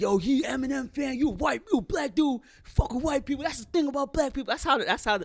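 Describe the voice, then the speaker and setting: A man puts on a character voice at an extremely high pitch, speaking at a very fast pace. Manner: argumentative, mocking.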